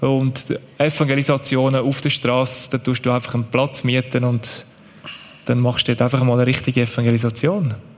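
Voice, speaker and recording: A man talks at a fairly quick pace in a medium pitch, monotone with flat intonation and very even loudness. Noticeable background noise is present. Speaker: aid organization worker. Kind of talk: church stage interview.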